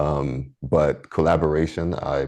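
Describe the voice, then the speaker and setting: A man with a very deep, low pitch speaks in a dark, mellow tone with vocal fry and fairly even intonation. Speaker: engineer. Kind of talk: interview. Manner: halting, many fillers and restarts.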